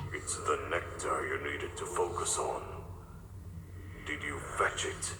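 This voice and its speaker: A wheezy put-on character voice from a man at a fairly slow pace, with slight echo and loud background noise. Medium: audio drama. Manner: cold, imperious.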